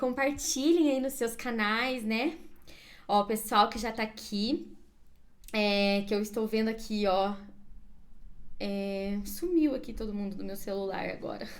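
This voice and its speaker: Intonation rises and falls in a lively way. The woman talks very slowly. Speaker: career coach. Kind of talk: live stream class. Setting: Instagram live.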